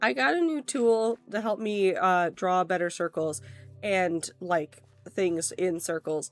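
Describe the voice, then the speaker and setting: Over music in the background, a woman at medium pitch speaks at a very slow pace with lively intonation. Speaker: streamer. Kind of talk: casual chat. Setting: livestream. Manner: enunciating carefully.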